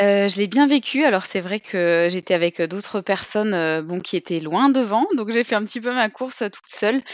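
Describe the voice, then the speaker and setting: The voice moves at a moderate pace with lively intonation and hardly any pauses, the sound dry and close with no echo. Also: woman, medium pitch for a woman. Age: 30s. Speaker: amateur trail runner. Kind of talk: casual interview. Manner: hesitant, many fillers.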